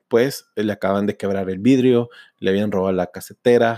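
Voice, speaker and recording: A man speaks at a fairly quick pace in a fairly low voice with a dark, mellow tone and fairly even intonation, the sound dry and close with no echo. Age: 40s. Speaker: sales trainer. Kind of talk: personal storytelling monologue.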